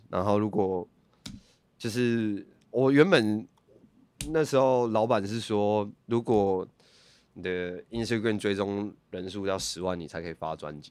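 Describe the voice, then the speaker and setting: Speaking at a fairly slow pace with long, frequent pauses, a man with a fairly low pitch and ordinary pitch variation shows big swings in loudness in a very clean recording with a silent background. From Taiwan, Hsinchu. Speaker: rapper. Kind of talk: casual interview chat.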